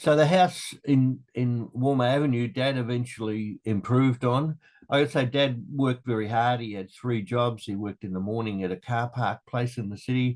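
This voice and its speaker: Speaking at a moderate pace in an Australian accent, a man with a medium-pitched voice and ordinary pitch variation is heard over a quiet background. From Australia, Melbourne (St Albans). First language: Dutch. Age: 70s. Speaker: interviewee, father of the host. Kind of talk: family interview, life story. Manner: conversational, with hesitations.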